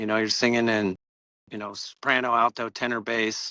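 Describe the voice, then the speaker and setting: In a dry, close sound with no echo, a man speaks at medium pitch and a moderate pace, his tone bright and sharp and his intonation monotone and flat. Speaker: singer-songwriter. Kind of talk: podcast interview. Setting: outdoors.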